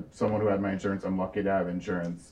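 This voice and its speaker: A man with an ordinary speaking voice talks at a fairly low pitch with fairly even intonation. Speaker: political organization co-founder. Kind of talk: panel discussion. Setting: stage with audience.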